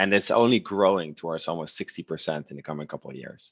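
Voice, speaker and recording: The recording of this man sounds dry and close with no echo, set against a quiet background. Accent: Dutch. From Netherlands. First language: Dutch. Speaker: e-commerce platform representative. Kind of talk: webinar presentation. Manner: halting, many fillers.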